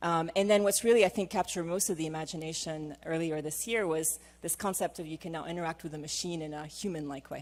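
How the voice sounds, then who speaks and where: In a non-native accent, a woman talks at a very fast pace with hardly any pauses, her fairly low voice holding fairly even intonation while loudness swings widely. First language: not English. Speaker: management consultant and former AI scientist. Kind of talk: conference panel presentation. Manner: hesitant with frequent fillers.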